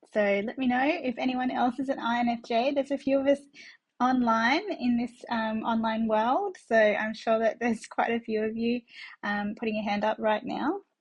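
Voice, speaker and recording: A woman with an Australian accent, high in pitch, at a moderate pace with ordinary pitch variation. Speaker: business coach. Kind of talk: conference presentation. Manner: hesitant with frequent fillers.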